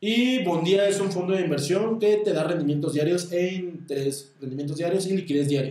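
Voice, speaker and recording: A man with a Mexican accent speaks at a high pitch and a moderate pace, hardly pausing. His pitch varies in an ordinary way, with audible room echo and noticeable background noise. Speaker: stockbroker, finance podcaster. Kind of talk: solo podcast monologue on investing. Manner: occasionally stumbling over words.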